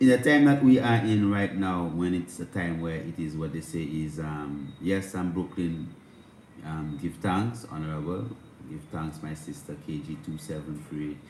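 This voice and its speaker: Amid audible room echo, a man with a very deep, low voice speaks with big swings in loudness. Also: lively intonation, moderate pace. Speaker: spiritual livestream host. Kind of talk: livestream spiritual talk. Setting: livestream on instagram and youtube. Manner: speaking low.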